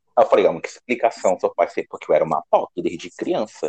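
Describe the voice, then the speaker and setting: A man speaks at a very fast pace, with a dry, close sound and no echo. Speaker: podcast host. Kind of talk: casual chat.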